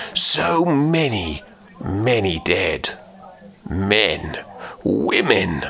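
A man performs a put-on character voice. It sounds shaky and swings very widely in pitch. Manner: melodramatic, trembling, halting.

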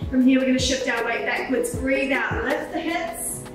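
A woman speaks at a high pitch and a moderate pace. Strong room echo and clear music in the background surround her voice. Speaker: pilates instructor. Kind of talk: workout class instruction. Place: empty room.

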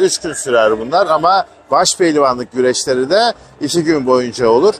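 Over light background noise, a man speaks at a moderate pace in a dry sound with no echo. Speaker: travel vlogger. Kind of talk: casual tour guide commentary. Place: stadium. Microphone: phone near.

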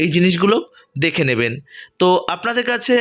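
Bright and sharp in tone, this voice belongs to a man. His pitch is high. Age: 30s. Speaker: travel vlogger. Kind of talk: vlog narration.

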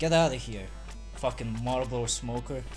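A man's raspy, put-on character voice at a moderate pace, with clear music in the background. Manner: angry, cursing.

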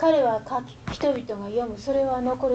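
Light background noise sits under the voice. Its intonation stays fairly even. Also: woman. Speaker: poet. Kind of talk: poetry reading. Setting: live audience reading. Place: classroom. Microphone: camera far.

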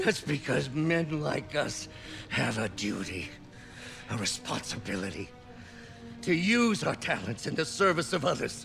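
A put-on character voice with vocal fry, big pitch swings and a fairly bright tone moves at a fairly slow pace. Faint music plays in the background. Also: man, medium pitch for a man.

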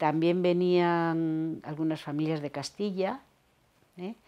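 A woman talks in a fairly low pitch. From Cantabria, Torrelavega; Cantabria. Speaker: retired teacher. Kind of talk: oral history interview; interview answer. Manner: hesitant. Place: home room. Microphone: lapel.

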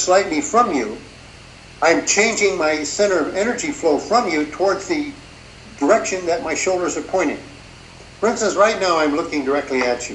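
With lively intonation and long, frequent pauses, a man at a high pitch speaks at a moderate pace amid audible room echo and light background noise. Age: 70s. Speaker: martial arts instructor. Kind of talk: interview. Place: home room. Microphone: video call.

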